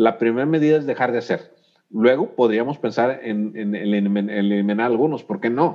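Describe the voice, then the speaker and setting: A man talks at a moderate pace in an unremarkable speaking voice, medium in pitch with ordinary pitch variation. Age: 50s. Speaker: civil engineer, urban mobility expert. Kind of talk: casual interview.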